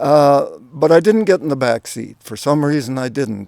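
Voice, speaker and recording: A man in a Canadian prairie accent talks in a dark, mellow tone, with ordinary pitch variation. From Saskatchewan, Canada. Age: 70s. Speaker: YouTuber sharing spiritual stories. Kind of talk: personal testimony. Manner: halting, many fillers.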